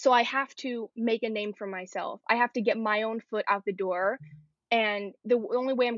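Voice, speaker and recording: A woman with an American accent and an ordinary speaking voice, fairly high in pitch, with fairly even intonation. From New York City, Queens. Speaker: fashion design student. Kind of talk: casual chat.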